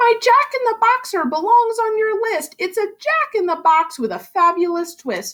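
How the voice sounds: Putting on a character voice, a woman speaks at an extremely high pitch and moderate pace, her fairly bright tone making big pitch swings.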